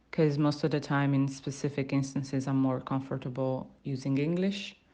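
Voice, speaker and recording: With an Italian accent, a woman speaks at a moderate pace in a very deep, low pitch and a dark, mellow tone, her loudness very even against a quiet background. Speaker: university student. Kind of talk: spoken language sample, reflective monologue. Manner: hesitant, many fillers and restarts.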